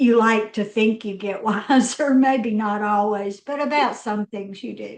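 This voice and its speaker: A woman speaks at a fairly slow pace in a fairly high voice, her intonation fairly even while her loudness swings widely. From US South, Mississippi. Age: 60s. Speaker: business strategist. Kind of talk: roundtable conversation.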